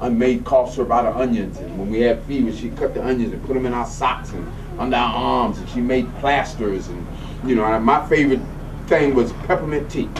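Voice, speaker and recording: Noticeable background noise and audible room echo surround this man's voice. He speaks at a medium pitch and a fairly quick pace. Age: 60s. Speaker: holistic health practitioner, acupuncturist. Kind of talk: casual chat.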